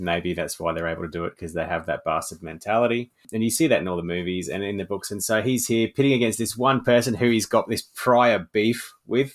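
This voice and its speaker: A man with a plain, everyday voice at medium pitch, ordinary pitch variation, a fairly quick pace with hardly any pauses, on a very clean recording with a silent background. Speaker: horror author. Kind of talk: casual interview chat.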